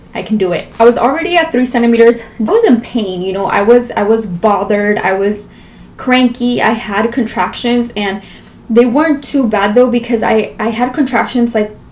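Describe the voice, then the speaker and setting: Fairly high-pitched woman against noticeable background noise. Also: ordinary pitch variation, moderate pace. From Las Vegas, US. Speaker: vlogger. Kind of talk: storytelling vlog.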